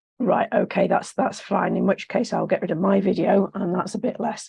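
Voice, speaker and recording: Fairly even intonation from a woman whose voice is somewhat breathy. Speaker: seminar host. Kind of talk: online seminar introduction.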